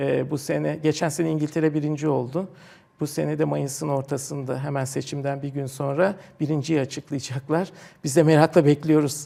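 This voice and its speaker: A man with a fairly high pitch speaks at a moderate pace, his dark, mellow tone held in a monotone, flat intonation. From Turkey, Istanbul. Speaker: professor and technology park director. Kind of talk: TV interview. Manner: hesitant, many fillers.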